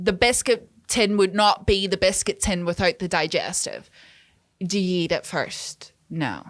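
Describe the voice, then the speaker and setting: Someone with a Northern Irish accent speaks in an animated tone at a fairly slow pace. The recording is very clean, with a silent background. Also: woman, medium pitch for a woman. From Northern Ireland. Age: 20s. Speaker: music video director. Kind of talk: casual chat.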